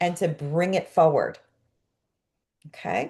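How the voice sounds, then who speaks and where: A woman speaks with an American accent. Her tone is animated. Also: quiet background. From New York, Brooklyn. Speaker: coach and course teacher. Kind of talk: online class.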